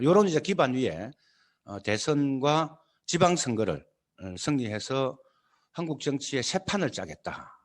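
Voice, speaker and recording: A man with a Gyeongsang accent speaks at a fairly slow pace and a medium pitch, leaving long, frequent pauses. His loudness swings widely, and his pitch swings very widely. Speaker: party leader. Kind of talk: lecture. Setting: video call. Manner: halting, many fillers.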